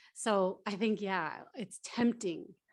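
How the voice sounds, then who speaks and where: The voice belongs to a woman. Ordinary pitch variation marks her speech. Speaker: HR manager at statistics office. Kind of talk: workshop panel Q&A. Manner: fast.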